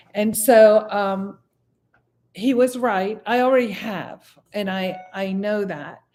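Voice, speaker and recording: Music plays in the background as a woman talks at a medium pitch. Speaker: meditation teacher. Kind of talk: meditation class teaching, casual talk. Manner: relaxed, conversational.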